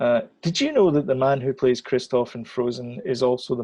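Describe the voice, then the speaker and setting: A man's dark, mellow tone in a Scottish accent, medium in pitch with ordinary pitch variation and a moderate pace. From Scotland. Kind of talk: casual podcast conversation.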